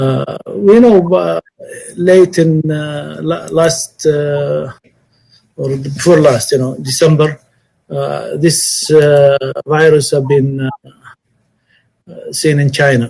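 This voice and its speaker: A man with an Arabic accent speaks at a very slow pace, leaving long, frequent pauses. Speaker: Umrah travel industry speaker. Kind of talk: webinar presentation. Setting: online webinar. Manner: halting.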